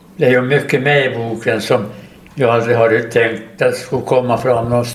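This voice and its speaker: Medium-pitched male speech at a moderate pace, fairly even in intonation, with audible room echo. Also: very even loudness. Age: 80s+. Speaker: war veteran and retired teacher. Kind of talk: casual interview. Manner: halting.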